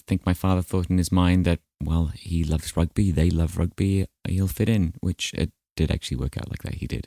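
A man's very deep, low voice, dark and mellow in tone, with fairly even intonation and a dry, close sound free of echo. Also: very clean recording, silent background. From Wales, then New Zealand from about age ten. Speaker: musical theatre actor. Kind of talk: casual interview.

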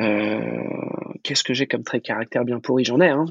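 A man speaks at a medium pitch. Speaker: food business manager. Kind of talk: casual interview. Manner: halting, many repetitions and fillers.

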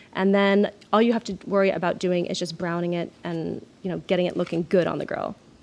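Monotone, flat intonation marks a woman's fairly quick speech. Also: fairly low pitch for a woman. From Maine. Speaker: chef and restaurant owner. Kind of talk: interview.

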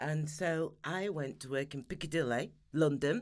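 A woman with a Sheffield accent speaks very slowly with ordinary pitch variation on a very clean recording with a silent background. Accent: Yorkshire (Sheffield) English. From Sheffield, Yorkshire, northern England. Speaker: beauty industry consultant and trainer. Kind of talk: interview.

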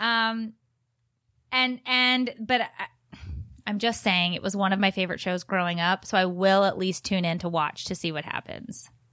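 A woman with a bright, sharp tone speaks at medium pitch with ordinary pitch variation. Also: moderate pace, very clean recording, silent background. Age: 30s. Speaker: podcast co-host, mother. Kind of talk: casual chat.

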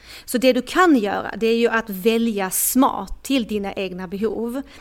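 A woman with an ordinary speaking voice, fairly high in pitch, keeps a moderate pace and varies her pitch in an ordinary way. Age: 40s. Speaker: dating coach. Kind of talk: casual chat. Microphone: microphone problems at end, rustling sound.

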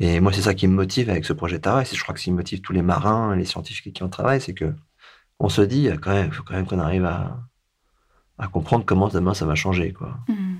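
In a very clean recording with a silent background, a man talks very fast at a very deep, low pitch, somewhat breathy, with ordinary pitch variation. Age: 40s. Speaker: sailor and foundation director. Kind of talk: interview. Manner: halting.

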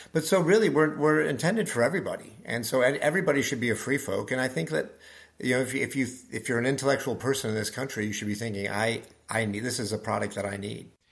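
Speaking very fast with lively intonation, a man with an American accent and a medium pitch comes through on a very clean recording with a silent background. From Nebraska. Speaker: business executive. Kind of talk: interview. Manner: halting.

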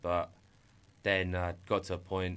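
A man speaks with an English accent at a fairly slow pace. His pitch is very deep and low. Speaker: entrepreneur. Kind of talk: testimony. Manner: halting.

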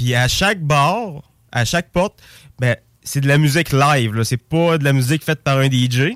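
An ordinary speaking voice moves at a fairly slow pace with very even loudness and ordinary pitch variation, recorded with a dry, close sound with no echo. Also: man, fairly high pitch for a man, very clean recording, silent background. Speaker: music enthusiast. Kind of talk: casual chat.

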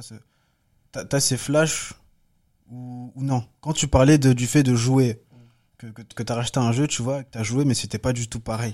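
In a very clean recording with a silent background, a man speaks at a fairly slow pace and medium pitch. His tone is dark and mellow, his intonation fairly even. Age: 20s. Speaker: film director and photographer. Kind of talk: casual chat.

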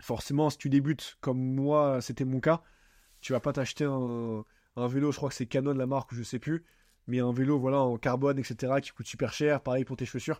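A man's medium-pitched voice in a monotone, flat delivery at a moderate pace. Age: 20s. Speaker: podcast host. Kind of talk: casual solo monologue. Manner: casual, filler-heavy.

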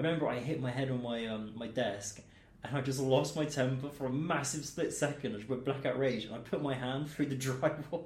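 Audible room echo surrounds a man who talks at medium pitch and a fairly quick pace with ordinary pitch variation. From Milton Keynes, England. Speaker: radio presenter and DJ. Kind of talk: casual chat. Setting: studio.

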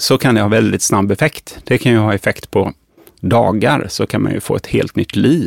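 He has a normal speaking voice, a man at a fairly low pitch with ordinary pitch variation. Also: dry, close sound with no echo. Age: 50s. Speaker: physician and pharmacology researcher. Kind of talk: interview.

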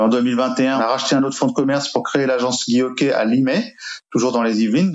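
Moderately paced speech from a man with a fairly high pitch, ordinary pitch variation, and noticeable background noise. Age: 50s. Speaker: real estate agency owner. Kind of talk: interview testimony. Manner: hesitant, repeats words.

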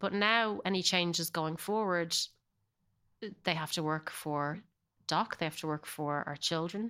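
With an American accent, a woman speaks with long, frequent pauses. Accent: Irish, slight Californian layering. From Ireland. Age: 40s. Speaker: actor. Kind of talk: casual chat.

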